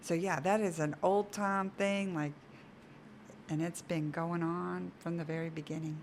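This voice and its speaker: A woman with an ordinary speaking voice talks at a fairly slow pace, her pitch fairly low and her intonation fairly even. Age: 50s. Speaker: pregnancy center worker. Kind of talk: interview.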